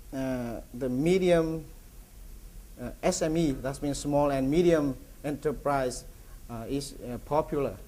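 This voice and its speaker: Amid audible room echo, a man with a fairly high pitch and a dark, mellow tone speaks in fairly even intonation, with long, frequent pauses. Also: fairly slow pace. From Vietnam. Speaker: feed company executive. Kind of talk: conference presentation. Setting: conference with audience. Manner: halting, many fillers and repetitions.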